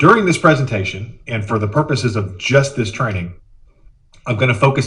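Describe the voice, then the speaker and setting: Somewhat breathy, a man with medium pitch speaks with lively intonation in audible room echo. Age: 40s. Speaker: communication trainer. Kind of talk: webinar presentation. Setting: video conference via laptop. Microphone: laptop microphone.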